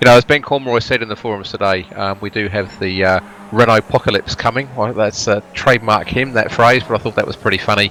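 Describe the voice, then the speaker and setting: Over noticeable background noise, a man with a fairly low pitch and fairly even intonation talks at a very fast pace with hardly any pauses. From Wales. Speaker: sim racing commentator. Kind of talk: casual chat. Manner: halting, many fillers.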